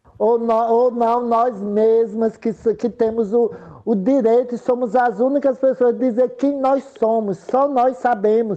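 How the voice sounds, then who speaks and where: At a fairly slow pace with hardly any pauses, a woman speaks in a fairly high, dark, mellow voice with fairly even intonation and very even loudness. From Sergipe, Brazil. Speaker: political candidate and activist. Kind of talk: interview.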